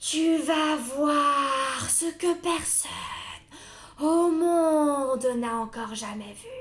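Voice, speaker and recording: A woman uses a put-on character voice with a high pitch. She talks at a very slow pace. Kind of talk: fairy-tale storytelling. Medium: read story. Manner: solemn, slow, grave.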